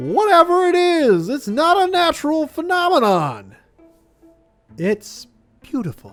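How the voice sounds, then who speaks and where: A man's put-on character voice at an extremely high pitch, fairly slow with long, frequent pauses, faint music in the background. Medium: game stream.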